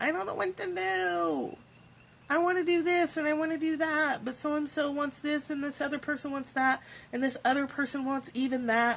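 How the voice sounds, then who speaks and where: A put-on character voice, high in pitch and whiny. It moves at a moderate pace in a whiny tone. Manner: whiny, complaining.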